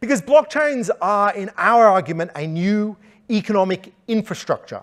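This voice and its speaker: With an Australian accent, a high-pitched man talks at a moderate pace, his loudness swinging widely. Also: lively intonation. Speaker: economist, conference speaker. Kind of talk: conference talk.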